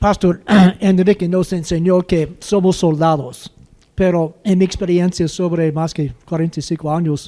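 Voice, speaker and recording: A man's high-pitched voice with a dark, mellow tone, fairly even intonation and a very slow pace. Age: 70s. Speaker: pastor. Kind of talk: panel discussion.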